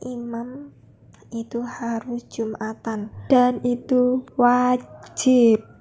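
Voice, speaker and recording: A woman speaks in a high, dark, mellow voice with monotone, flat intonation. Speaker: vlogger, teacher-training student. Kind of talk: travel vlog narration. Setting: on a bus trip.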